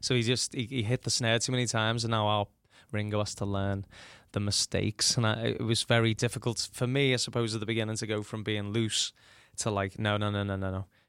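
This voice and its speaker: In a dry, close sound with no echo, a man talks at a very fast pace, his fairly low pitch held in a monotone, flat intonation. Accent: Liverpool. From Liverpool, England. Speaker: tribute act musician. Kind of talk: interview. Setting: studio.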